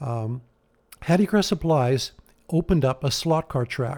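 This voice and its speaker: Dark, mellow tone in a Canadian Prairie accent, with ordinary pitch variation. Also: man. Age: 60s. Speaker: hot rod builder. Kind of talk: interview.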